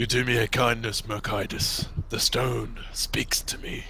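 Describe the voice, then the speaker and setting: A man in a put-on character voice at a moderate pace, with clear background noise. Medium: actual play. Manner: formal, stern.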